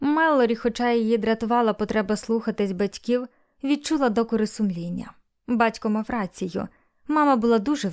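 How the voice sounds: A natural reading voice with ordinary pitch variation against a quiet background.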